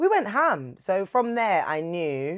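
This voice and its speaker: The recording of a woman with a London accent is dry and close, with no echo. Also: quiet background. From London, England. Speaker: TV presenter and radio broadcaster. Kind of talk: casual interview chat.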